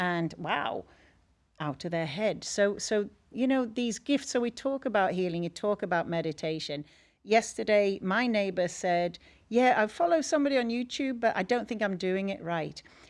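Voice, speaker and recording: Recorded very cleanly against a silent background, a woman speaks with an English accent. Her medium-pitched voice has lively intonation. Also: moderate pace. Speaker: energy healer. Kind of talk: podcast interview. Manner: animated.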